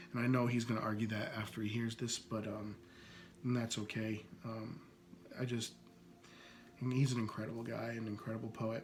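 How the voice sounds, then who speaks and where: A man with an American accent speaks fairly quickly in a medium-pitched, monotone, flat delivery with long, frequent pauses, amid noticeable background noise and audible room echo. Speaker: podcast host. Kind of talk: casual podcast monologue introducing poets. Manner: hesitant, many fillers.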